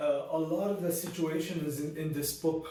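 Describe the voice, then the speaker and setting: Amid noticeable background noise and audible room echo, a man talks at a moderate pace in a high voice with ordinary pitch variation. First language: not Arabic; Arabic learned second in school. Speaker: book reviewer. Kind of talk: casual book review monologue. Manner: animated, frequent fillers and restarts.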